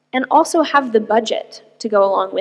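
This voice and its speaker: The speaker has an American accent and ordinary pitch variation. The pace is moderate and the background quiet. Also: woman. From US, Arizona. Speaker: tech entrepreneur; guest. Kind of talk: keynote talk. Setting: stage with audience. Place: hall. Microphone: podium.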